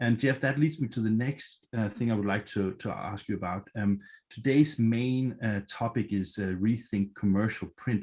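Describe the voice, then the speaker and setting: A man with a Danish accent, medium-pitched, at a moderate pace with hardly any pauses and ordinary pitch variation. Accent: Danish accent, noticeable. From Denmark. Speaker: event moderator. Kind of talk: virtual event moderation. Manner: hesitant, many fillers.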